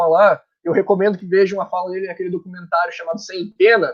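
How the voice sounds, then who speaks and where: A man talking at a fairly quick pace. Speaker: book co-organizer presenting a tribute volume. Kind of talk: online book launch presentation. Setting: online live stream.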